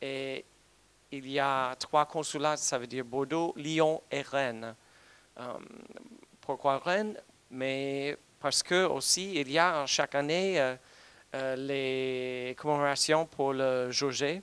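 In a dry sound with no echo, a man with a fairly high pitch talks at a very slow pace, with fairly even intonation and long, frequent pauses. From United States. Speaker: diplomat. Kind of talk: conference talk. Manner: halting. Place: hall. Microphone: handheld.

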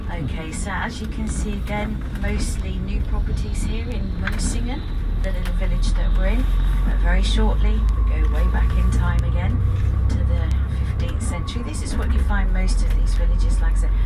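Amid loud background noise, a woman speaks at a moderate pace. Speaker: tour guide. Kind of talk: tour commentary. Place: bus.

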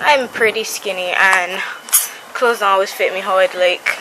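Noticeable noise can be heard in the background. The pace of the speaking is moderate. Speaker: vlogger showing a DIY project. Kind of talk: casual vlog tutorial. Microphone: phone near.

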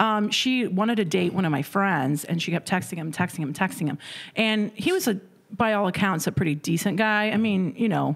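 Against a quiet background, a woman with an American accent speaks at a fairly quick pace with ordinary pitch variation. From Indiana. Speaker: comedian. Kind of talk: casual chat. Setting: studio. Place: studio. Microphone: studio mic.

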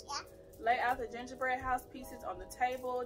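Clear music plays in the background. Over it, a woman talks at a moderate pace. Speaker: mother vlogger. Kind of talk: casual vlog chat, reading instructions. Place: home room. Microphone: camera far.

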